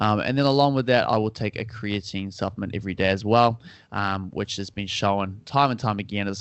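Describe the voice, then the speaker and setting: A man with a New Zealand accent speaks at a fairly low pitch. His pace is fairly quick and his intonation fairly even. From New Zealand (Auckland). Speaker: personal trainer and nutritionist. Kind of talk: casual interview chat. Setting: call.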